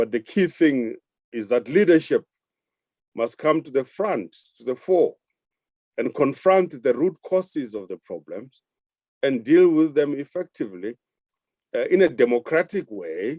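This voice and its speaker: A man with a fairly high pitch and a dark, mellow tone speaks at a fairly slow pace with lively intonation, long, frequent pauses and big swings in loudness, in a dry, close sound with no echo. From South Africa. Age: 60s. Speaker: government minister. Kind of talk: panel discussion.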